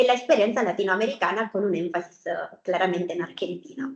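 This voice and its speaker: A woman with an Italian accent talks with lively intonation. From Italy. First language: Italian (speaking Spanish). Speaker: researcher. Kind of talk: academic seminar presentation. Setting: university seminar with audience and remote viewers. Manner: hesitant, many fillers.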